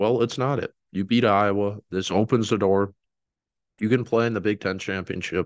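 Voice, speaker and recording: A man with a normal speaking voice, fairly low in pitch, at a moderate pace with fairly even intonation, the sound dry and close with no echo against a quiet background. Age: 20s. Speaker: sports podcast host. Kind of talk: solo sports commentary podcast. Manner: casual with frequent fillers and restarts.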